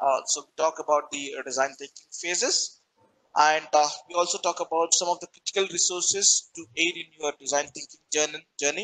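A man speaks at a moderate pace with a fairly high pitch and fairly even intonation. His loudness swings widely. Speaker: corporate trainer. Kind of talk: webinar lecture. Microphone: video call.

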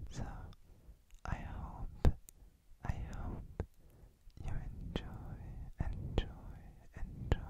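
A whisper at a very slow pace, broken by long, frequent pauses. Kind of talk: ASMR mouth sounds while gaming. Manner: whispered.

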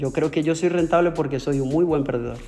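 A man's fairly high voice over faint background music. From Venezuela. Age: 30s. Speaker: trader; interviewee. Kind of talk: interview. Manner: halting, with many repetitions. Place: home room. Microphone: earbuds.

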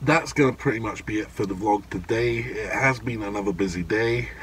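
A man's voice, dry with no echo, with ordinary pitch variation over light background noise. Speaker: vape vlogger. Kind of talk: casual vlog chat. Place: car. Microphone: phone near.

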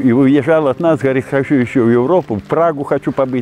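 Over faint music in the background, a man talks at a fairly quick pace with lively intonation in a dry sound with no echo. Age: 70s. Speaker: retired teacher and fishing pond owner; retired teacher. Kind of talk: interview. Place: open country.

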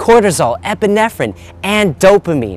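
The sound is dry with no echo. A man speaks at a moderate pace. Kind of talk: direct-to-camera appeal. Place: waterside. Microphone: lapel.

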